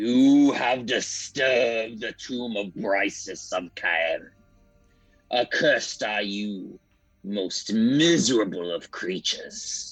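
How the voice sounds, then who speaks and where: A man uses a booming, put-on character voice at a medium pitch. He speaks at a very slow pace over faint music in the background. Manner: menacing.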